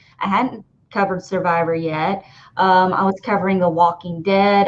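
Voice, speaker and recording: A woman speaks in a monotone, flat intonation with a strong Southern US accent. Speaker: podcast host. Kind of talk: casual chat. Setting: live stream.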